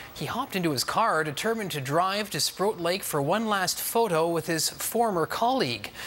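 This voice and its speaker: The speech moves at a moderate pace with hardly any pauses. Noticeable background noise sits behind it. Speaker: TV news anchor. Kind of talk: TV news intro read.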